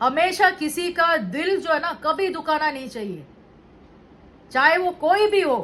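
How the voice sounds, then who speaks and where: A woman speaks at an extremely high pitch and a very slow pace. Her loudness swings widely, with ordinary pitch variation. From Indian cities. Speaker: vlogger. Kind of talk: monologue vlog. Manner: Hindi-English code-switching.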